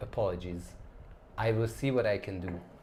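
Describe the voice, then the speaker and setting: At a moderate pace, a man with a somewhat breathy, fairly low-pitched voice speaks with lively intonation. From Hungary, Budapest. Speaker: travel YouTuber. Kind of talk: live stream chat and Q&A.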